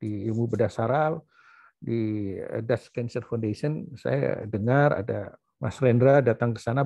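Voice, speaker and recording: This man has a dark, mellow tone at a medium pitch with ordinary pitch variation. He speaks at a fairly slow pace over a quiet background. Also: dry, close sound with no echo. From Surabaya, East Java, Indonesia. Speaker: professor and doctor. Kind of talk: memorial talk with slides. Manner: halting, many fillers.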